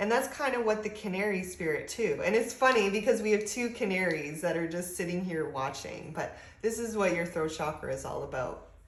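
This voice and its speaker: The speaker uses lively intonation at a moderate pace. Room echo is audible. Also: woman. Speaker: spiritual advice channel host. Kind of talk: tutorial.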